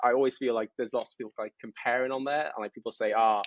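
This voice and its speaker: A man speaks with a British accent. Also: dry, close sound with no echo. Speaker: mental health content creator, Navy veteran. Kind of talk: podcast interview. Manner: fast.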